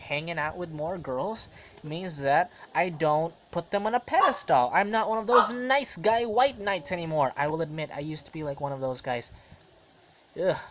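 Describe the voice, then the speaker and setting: Speaking at a moderate pace, a man uses lively intonation. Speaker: vlogger. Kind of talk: casual monologue vlog. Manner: rambling with fillers.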